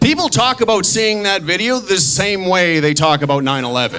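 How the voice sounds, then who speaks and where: A man talks at a moderate pace with very wide pitch swings. Music plays in the background. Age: 30s. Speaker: stand-up comedian. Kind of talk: stand-up.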